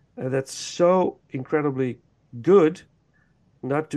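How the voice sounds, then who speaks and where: Fairly high-pitched man with a Dutch accent, a dark, mellow tone, ordinary pitch variation and a fairly slow pace. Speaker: podcast host. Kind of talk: casual chat.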